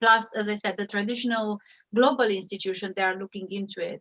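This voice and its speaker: A woman with a Romanian accent speaks in a fairly high pitch, the sound dry and close with no echo. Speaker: AI ethics expert. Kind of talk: panel discussion.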